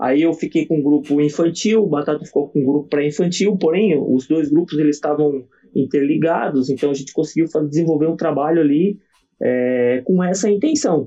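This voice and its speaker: Here is a man with a normal speaking voice and a fairly high pitch. He moves at a fairly quick pace, with ordinary pitch variation and very even loudness. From southern Santa Catarina, Brazil. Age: 40s. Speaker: gymnastics coach. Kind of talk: casual interview.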